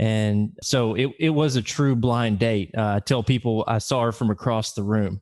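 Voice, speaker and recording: A man talks with a Southern US accent. His pace is moderate, with hardly any pauses. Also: medium pitch for a man, ordinary pitch variation. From US South, Little Rock, Arkansas. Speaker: director of blind education programs. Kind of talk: podcast interview.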